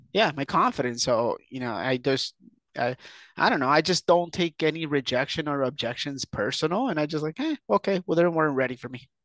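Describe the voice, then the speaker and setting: The recording is dry and close with no echo, over a quiet background. A man speaks in a fairly high voice with lively intonation. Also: fairly quick pace. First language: not English. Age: 30s. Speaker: entrepreneur and investor. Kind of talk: podcast interview. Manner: hesitant, many fillers and repeats.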